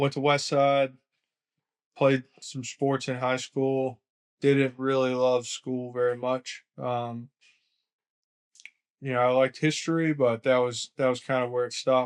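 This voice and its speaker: Man with an American accent, monotone, flat intonation and a fairly slow pace, full of long, frequent pauses, in a dry, close sound with no echo. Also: medium pitch for a man. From US South, Augusta, Georgia. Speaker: lawn care business owner. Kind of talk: podcast interview.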